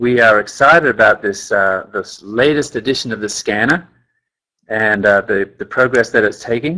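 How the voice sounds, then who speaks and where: A man with an Australian accent has a bright, sharp tone. He talks at a moderate pace with ordinary pitch variation. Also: medium pitch for a man. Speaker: company scientist presenting a training webinar. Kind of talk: webinar presentation. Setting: webinar call.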